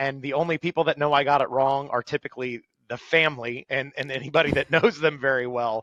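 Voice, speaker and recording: Fairly high for a man and moving at a fairly quick pace, this is a normal speaking voice with ordinary pitch variation, recorded in a dry, close sound with no echo. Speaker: motorsports race announcer; stand-up comedian turned announcer with a day job in sales. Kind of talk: podcast interview answer. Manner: casual, humorous, conversational.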